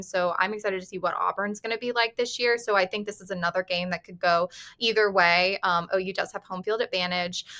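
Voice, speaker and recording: The sound is dry and close with no echo. A woman speaks at a fairly quick pace in a bright, sharp tone with ordinary pitch variation. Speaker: sports podcast co-host. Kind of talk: casual sports discussion.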